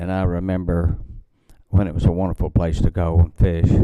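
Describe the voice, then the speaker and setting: A man with an American accent speaks at a very deep, low pitch. His tone is dark and mellow, and his intonation stays fairly even. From western Kentucky, Daviess County area. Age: 70s. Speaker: local resident speaking at public comment. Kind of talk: public comment testimony. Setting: county courthouse meeting with public.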